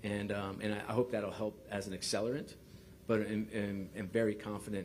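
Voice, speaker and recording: With a New York accent and monotone, flat intonation, a man speaks at a fairly quick pace amid audible room echo. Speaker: sports league executive. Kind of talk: press conference. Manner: halting, many fillers and repeats.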